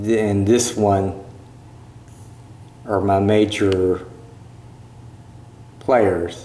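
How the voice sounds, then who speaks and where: A man with a fairly low pitch, monotone, flat intonation, a very slow pace and long, frequent pauses, with audible room echo. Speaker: YouTuber vlogger. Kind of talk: casual vlog commentary on channel analytics. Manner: hesitant, many fillers.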